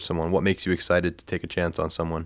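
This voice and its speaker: On a very clean recording with a silent background, a man talks. His pitch is very deep and low, and his pace is very fast. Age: young. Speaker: podcast host. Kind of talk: interview conversation.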